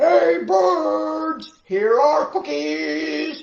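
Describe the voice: Shouting in a put-on character voice, the speaker is loud at a middle pitch.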